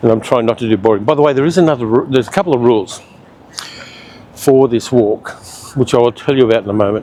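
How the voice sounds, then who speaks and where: A very fast man's voice at a medium pitch with an Australian accent, very even loudness, ordinary pitch variation and long, frequent pauses, over noticeable background noise. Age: 60s. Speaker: travel vlogger. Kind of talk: casual vlog narration while walking. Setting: outdoors.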